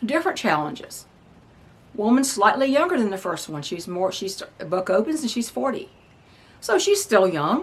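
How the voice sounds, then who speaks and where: A woman at a moderate pace with very wide pitch swings, amid noticeable background noise. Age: 60s. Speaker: novelist and homesteader. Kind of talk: casual vlog talk. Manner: halting, with frequent fillers.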